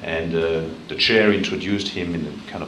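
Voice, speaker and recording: A very deep, low male voice with audible room echo and noticeable background noise. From France. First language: French. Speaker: international organization advisor, keynote speaker. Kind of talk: keynote speech. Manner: halting, many fillers.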